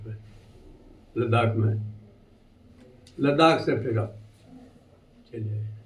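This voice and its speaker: Audible room echo surrounds a man's somewhat breathy, medium-pitched voice with fairly even intonation. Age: 80s+. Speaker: retired army havildar, war veteran. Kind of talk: testimony.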